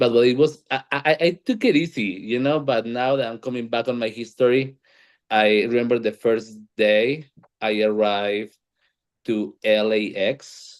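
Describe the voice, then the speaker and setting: Against a quiet background, a man speaks with a strong Colombian accent at a medium pitch. His pace is moderate and his pitch variation ordinary. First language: Spanish. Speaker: panel moderator. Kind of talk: panel discussion. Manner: halting, repeats words.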